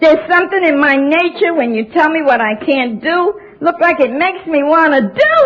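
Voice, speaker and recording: A woman's extremely high pitch and animated tone at a moderate pace, in an American accent, over noticeable background noise. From New York. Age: 70s. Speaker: AA speaker. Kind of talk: testimony. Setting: stage with audience.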